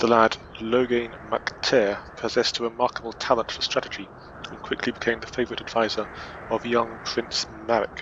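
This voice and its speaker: A man at medium pitch and moderate pace, with monotone, flat intonation, big swings in loudness and noticeable background noise. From Scotland. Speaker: gaming video creator. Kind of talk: reading aloud. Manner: halting, stumbles and self-corrects.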